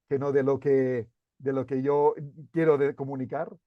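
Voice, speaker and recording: A man speaks in a Catalan accent at a moderate pace. His pitch is fairly high. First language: Catalan (speaking Spanish). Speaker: CEO and author. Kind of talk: interview. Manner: halting, many repeated words.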